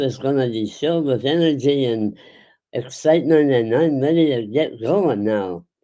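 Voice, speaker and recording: With a dark, mellow tone and lively intonation, a man talks at a fairly slow pace over a quiet background. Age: 80s+. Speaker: advocate and award namesake. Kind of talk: award speech. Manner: halting.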